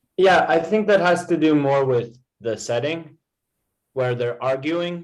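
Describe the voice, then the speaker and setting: With an American accent, a man speaks at a fairly slow pace using lively intonation. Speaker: English tutor. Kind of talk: online English lesson.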